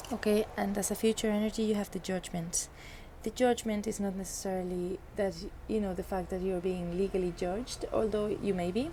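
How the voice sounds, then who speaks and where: At a fairly quick pace, a woman speaks at a medium pitch, her tone dark and mellow and somewhat breathy. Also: fairly even intonation. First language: not English. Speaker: tarot reader. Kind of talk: tarot reading monologue. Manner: halting, many fillers and restarts.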